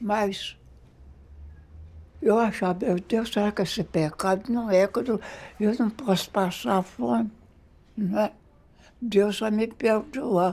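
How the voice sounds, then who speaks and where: On a very clean recording with a silent background, a woman talks at a very slow pace with long, frequent pauses, a dark, mellow tone and ordinary pitch variation. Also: medium pitch for a woman. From Minas Gerais, Brazil. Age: 80s+. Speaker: documentary subject. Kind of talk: documentary interview answer.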